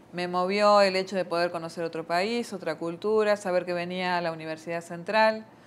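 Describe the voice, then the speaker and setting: Using a fairly quick pace, a woman with an Argentine accent speaks in a monotone, flat way. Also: fairly low pitch for a woman, hardly any pauses. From Argentina. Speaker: missionary nun. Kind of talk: interview.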